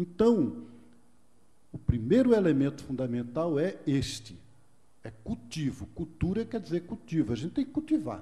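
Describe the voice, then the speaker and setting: Using a dark, mellow tone and a fairly high pitch, a man speaks at a moderate pace with very wide pitch swings and long, frequent pauses. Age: 60s. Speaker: monk and speaker on culture of peace. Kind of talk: lecture. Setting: stage with audience. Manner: conversational.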